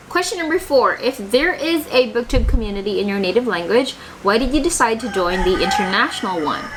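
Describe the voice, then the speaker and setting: Against noticeable background noise, a high-pitched woman's voice swings very widely in pitch. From Philippines, Iloilo (Panay). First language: Hiligaynon. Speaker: book YouTuber. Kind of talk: casual vlog answering tag questions. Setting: home, bookshelf behind. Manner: conversational with fillers.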